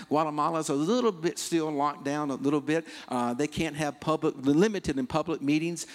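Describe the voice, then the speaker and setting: Fairly quick in pace, a man with a fairly high pitch has a plain, everyday voice on a very clean recording with a silent background. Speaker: missionary pastor. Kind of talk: sermon.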